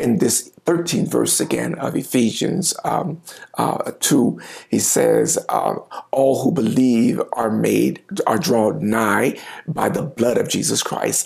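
A man at medium pitch with a slightly mellow tone, a slightly husky edge, vocal fry, ordinary pitch variation and a slow pace

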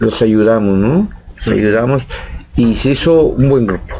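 A man's lively intonation at a fairly slow pace. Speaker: rock drummer. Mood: relaxed storytelling. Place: shop. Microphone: studio mic.

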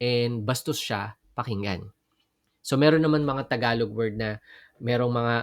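Recorded very cleanly against a silent background, with a dry, close sound and no echo, a man has an ordinary speaking voice, a fairly slow pace and lively intonation. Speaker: Bible teacher. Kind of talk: Bible study lecture.

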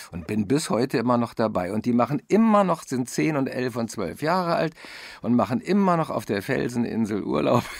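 The recording is very clean, with a silent background. A man speaks at medium pitch and a moderate pace, with vocal fry and very wide pitch swings. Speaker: voice actor and narrator. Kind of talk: interview.

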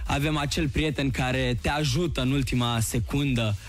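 A man talks at a fairly slow pace with ordinary pitch variation. The sound is dry with no echo, and faint music plays in the background. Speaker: guest. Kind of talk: interview answer. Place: studio. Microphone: studio mic.

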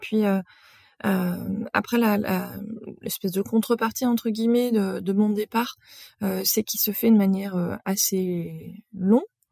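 A woman's somewhat breathy, dark and mellow voice at a fairly slow pace, fairly even in intonation, with a dry, close sound and no echo. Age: 40s. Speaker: podcast host and marketing professional. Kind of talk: casual solo monologue. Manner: hesitant, many filler sounds.

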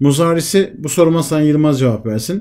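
A dark, mellow male voice, fairly high in pitch, with ordinary variation. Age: 50s. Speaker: Arabic language teacher. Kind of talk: online lecture. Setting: online class with screen sharing. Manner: interactive, questioning students.

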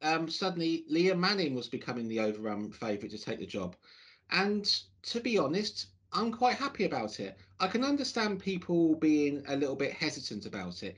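Against a quiet background, a man talks at a fairly quick pace with very wide pitch swings. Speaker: football fan podcast host. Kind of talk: casual podcast commentary. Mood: hopeful, reflective. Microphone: video call.

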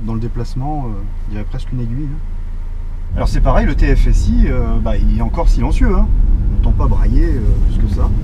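Noticeable background noise fills the recording. A man talks at a moderate pace. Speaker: car reviewer driving. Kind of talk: car review commentary. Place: car. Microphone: camera far.

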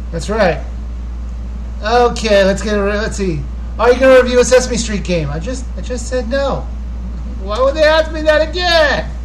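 Over light background noise, a man speaks at a moderate pace with long, frequent pauses. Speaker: YouTube gaming channel host. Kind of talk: casual live Q&A stream. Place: home room. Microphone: webcam.

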